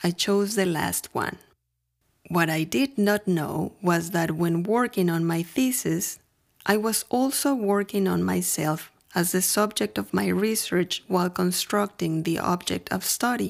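With a Mexican accent, a woman speaks in a fairly low voice. Her intonation is lively. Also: very even loudness. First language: Spanish. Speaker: podcaster. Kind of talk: scripted narration.

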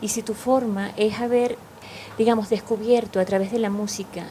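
In a Venezuelan accent, a woman speaks at medium pitch with monotone, flat intonation at a fairly slow pace over noticeable background noise. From Caracas, Venezuela. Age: 50s. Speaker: meditation teacher. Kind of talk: casual interview.

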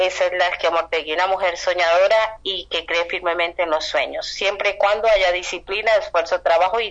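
Fairly even intonation at a moderate pace, over noticeable background noise. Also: woman. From Colombia. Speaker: writer. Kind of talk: interview.

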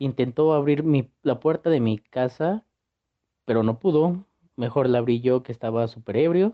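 A man speaks in a normal speaking voice, medium-pitched and moderately paced, with ordinary pitch variation. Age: young. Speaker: university student telling a personal story. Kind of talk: personal anecdote.

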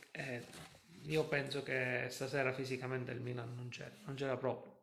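Through audible room echo, a man talks at a medium pitch and moderate pace with fairly even intonation. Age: 40s. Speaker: football fan livestream host. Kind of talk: casual chat.

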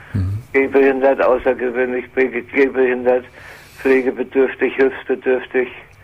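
Over background music, a man at a medium pitch speaks fairly slowly with monotone, flat intonation. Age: 70s. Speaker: retired caller caring for sick wife. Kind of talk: phone-in conversation. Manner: halting.

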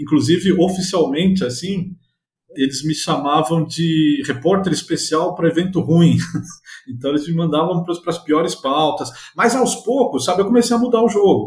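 A high-pitched male voice with lively intonation at a moderate pace. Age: 50s. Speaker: journalist. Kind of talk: interview.

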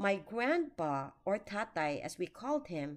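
In a very clean recording with a silent background, a woman at medium pitch swings her pitch very widely. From Philippines. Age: 60s. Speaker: retired teacher and caregiver. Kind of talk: scripted narration.

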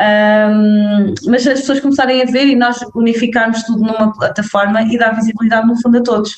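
Somewhat breathy, this woman's fairly high voice moves at a fairly quick pace with fairly even intonation. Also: hardly any pauses, very even loudness. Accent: northern Portuguese. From northern Portugal. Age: 30s. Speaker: anti-racism content creator. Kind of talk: casual chat.

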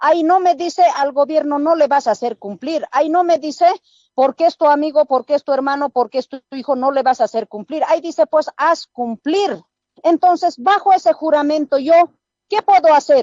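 A woman talks at a moderate pace in a high voice. Her pitch varies in an ordinary way. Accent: Andean. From rural Oruro, Bolivia. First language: Aymara (speaking Spanish). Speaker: police sergeant. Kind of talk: radio interview. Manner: firm.

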